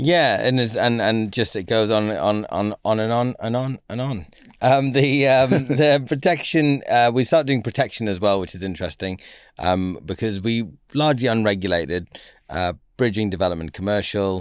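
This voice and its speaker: On a very clean recording with a silent background, a man speaks in a northern English accent. His pitch is fairly low, his pace moderate and his intonation lively. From northern England. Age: 40s. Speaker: finance broker, business founder. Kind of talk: podcast interview.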